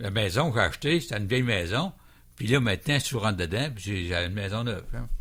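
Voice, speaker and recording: At a very fast pace, a man speaks in a fairly low pitch. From Quebec, Montmagny. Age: 70s. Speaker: plane crash survivor. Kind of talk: radio interview. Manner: halting, repeats words.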